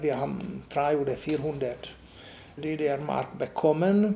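A man with a Hungarian accent speaks at a very slow pace in a fairly high voice with a dark, mellow tone and ordinary pitch variation. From eastern Hungary. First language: Hungarian (speaking German). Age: 70s. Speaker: artist and art professor. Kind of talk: interview. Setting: artist's studio.

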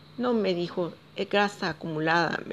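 Speaking at a fairly slow pace, a woman has an unremarkable speaking voice with a fairly low pitch. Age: 40s. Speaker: vlogger sharing personal story. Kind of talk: personal testimony.

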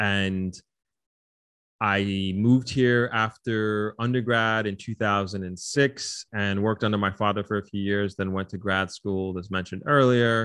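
Over a quiet background, a man talks at a fairly slow pace in a plain, everyday voice, fairly low in pitch, with fairly even intonation. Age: 30s. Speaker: hotelier and marathon runner. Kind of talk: casual interview.

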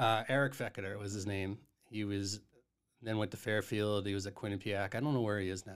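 A man with an American accent talks quickly at a fairly low pitch with fairly even intonation. He has a plain, everyday voice. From Massachusetts (Duxbury, South Shore). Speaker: head golf professional. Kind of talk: casual chat.

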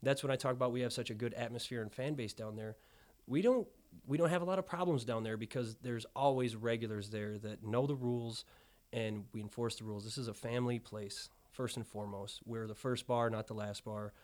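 A medium-pitched man with a Midwestern American accent on a very clean recording with a silent background. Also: ordinary pitch variation, fairly quick pace. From northern Illinois (Freeport). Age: 30s. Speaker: restaurant owner. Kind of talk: casual interview.

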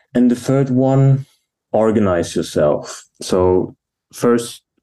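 A man with a German accent speaks at a very slow pace in a dark, mellow tone, his pitch varying in an ordinary way. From Germany. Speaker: operations manager at furniture company. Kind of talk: casual interview.

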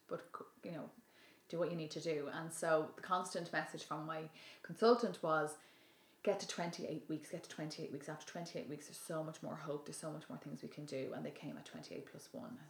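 A Dublin accent with vocal fry. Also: woman. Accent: Dublin Irish. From Ireland (Dublin). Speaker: yoga teacher and public speaker. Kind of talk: casual chat. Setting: at home.

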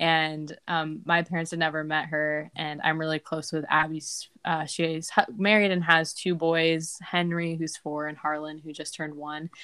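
At a moderate pace, a woman speaks in a very deep, low voice with a bright, sharp tone and monotone, flat intonation. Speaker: podcast host. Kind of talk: casual chat.

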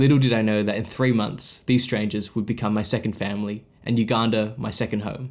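Hardly pausing, a speaker with an Australian accent talks at a fairly quick pace in a monotone, flat intonation on a very clean recording with a silent background. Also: man, fairly low pitch for a man. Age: 20s. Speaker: podcast host and photographer. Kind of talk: scripted narration. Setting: at his desk.

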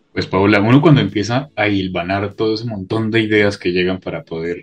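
A man's fairly low voice comes through over music in the background. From Colombia (Bogotá). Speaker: podcast co-host. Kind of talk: casual interview.

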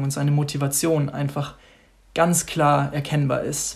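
Somewhat breathy and fairly slow, a man speaks at a fairly high pitch with monotone, flat intonation. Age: 20s. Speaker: church member giving devotional. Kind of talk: devotional talk.

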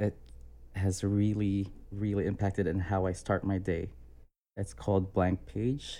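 In a very clean recording with a silent background, a man with an American accent speaks at a fairly slow pace and very even loudness, his fairly low pitch carrying a dark, mellow tone and ordinary pitch variation. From Philippines, then US. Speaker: abuse survivor sharing story. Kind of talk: personal testimony.

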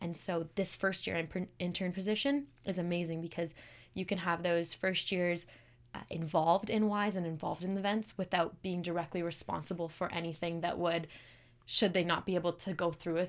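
A woman with a Western Canadian accent talks at a fairly quick pace, using a fairly low pitch and fairly even intonation. The recording is very clean, with a silent background. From Calgary, Alberta, Canada. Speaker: engineering student, club president. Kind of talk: casual interview.

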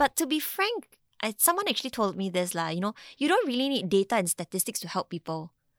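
A woman with a Singaporean accent, fairly high-pitched, racing along with very wide pitch swings, in a very clean, silent recording with a dry, close sound and no echo. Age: 30s. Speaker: mental health nonprofit co-founder. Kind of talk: interview.

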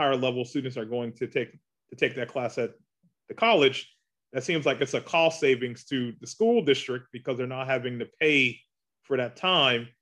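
An ordinary speaking voice with an American accent at a fairly quick pace. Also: man. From US South, Charleston, South Carolina. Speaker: college president. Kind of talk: interview.

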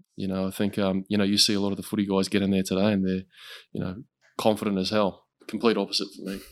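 Talking at a very fast pace, a man with a fairly low pitch keeps a monotone, flat intonation on a very clean recording with a silent background. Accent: Australian. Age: 20s. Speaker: combat sports commentator. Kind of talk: casual chat.

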